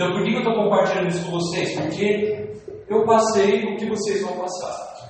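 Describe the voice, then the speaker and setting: A man speaks with an animated tone at a moderate pace and a high pitch. Music plays in the background. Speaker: network marketing motivational speaker. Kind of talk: motivational sales-pitch sermon to a live crowd, preacher-like. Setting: stage with audience. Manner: animated, emphatic, rhetorical questions, rallying crowd.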